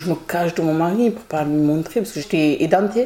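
The recording is very clean, with a silent background, as a woman speaks at a fairly slow pace. Her fairly low voice has a dark, mellow tone and ordinary pitch variation. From northern Marseille, France. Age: 30s. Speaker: beautician, victim. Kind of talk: testimony. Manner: halting.

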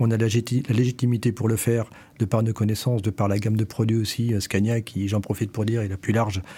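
At a fairly quick pace, a man speaks in a medium pitch with a dark, mellow, somewhat breathy tone and fairly even intonation. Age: 50s. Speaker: company director. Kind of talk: interview. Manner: halting.

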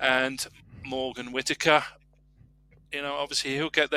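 A man's medium-pitched voice, bright and sharp, at a moderate pace, with a dry, close sound and no echo. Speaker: football podcast panelist. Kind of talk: casual chat.

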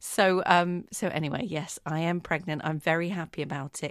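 Against a quiet background, a woman with an unremarkable speaking voice talks at a fairly low pitch with ordinary pitch variation. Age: 30s. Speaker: podcast host. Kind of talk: casual chat.

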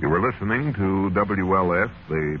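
Through noticeable background noise, a man with a very deep, low pitch talks at a fairly slow pace. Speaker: radio announcer host. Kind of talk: old-time radio announcing, dramatic intro and sign-off. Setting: live radio broadcast. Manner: formal, polished, announcer cadence.

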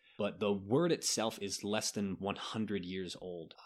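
On a very clean recording with a silent background, a man speaks at a moderate pace in a plain, everyday voice with a fairly low pitch. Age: 30s. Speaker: podcast host on genocide history. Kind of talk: casual educational chat.

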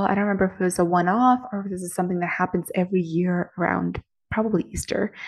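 Somewhat breathy, a woman speaks at medium pitch in a dark, mellow tone. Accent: American. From Moscow, Russia, then Boston area. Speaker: podcast host and business coach. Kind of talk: personal testimony monologue.

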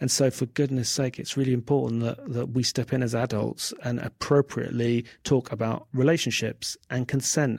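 A man with a London accent at medium pitch, fairly quick in pace and fairly even in intonation, in a very clean recording with a silent background. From England, South London. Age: 40s. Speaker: writer. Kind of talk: interview.

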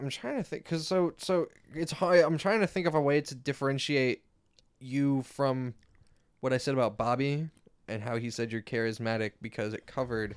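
This is a man using a normal speaking voice, pitched at a medium level. He keeps a moderate pace, and his pitch varies in an ordinary way. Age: 20s. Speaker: podcast co-host. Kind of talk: casual chat.

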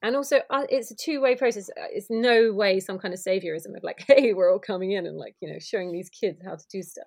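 With a southern English accent, a woman talks very fast with hardly any pauses, her fairly high voice showing ordinary pitch variation and big swings in loudness. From Kent, southeast England. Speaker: pride organiser. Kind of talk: casual chat.

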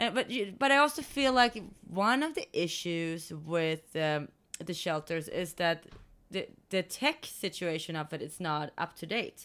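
A woman with a Swedish accent speaks at a fairly slow pace. Her pitch swings very widely in a very clean recording, silent background. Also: medium pitch for a woman. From Sweden. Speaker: dog rescue co-founder, podcast co-host. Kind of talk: casual chat.

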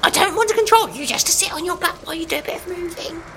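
Speaking at a very fast pace in a put-on character voice, a man uses an extremely high pitch over clear background noise. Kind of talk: comic overacting. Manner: chummy, coaxing, cheeky.

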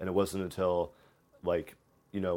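The speaker has an American accent and a fairly quick pace. The intonation stays monotone and flat. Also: man. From US Midwest, Cincinnati area, Ohio. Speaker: former study-abroad student. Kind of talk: casual chat.

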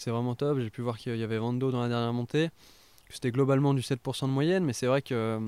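At a very fast pace, a man with a medium pitch and a dark, mellow tone talks with fairly even intonation in a dry, close sound with no echo. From France, Haute-Savoie. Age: 20s. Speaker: professional cyclist. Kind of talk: casual interview. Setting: at guest's home. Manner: hesitant, many fillers.

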